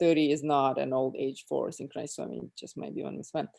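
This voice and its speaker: A woman speaks with a Russian accent. The background is quiet. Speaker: former athlete. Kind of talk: casual chat.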